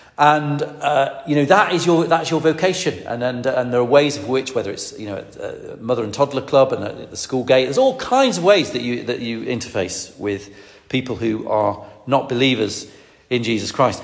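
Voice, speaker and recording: A man's medium-pitched voice at a moderate pace with ordinary pitch variation and noticeable background noise. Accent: Lancashire. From northwest England. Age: 50s. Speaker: preacher. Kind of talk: sermon. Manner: halting, with frequent fillers.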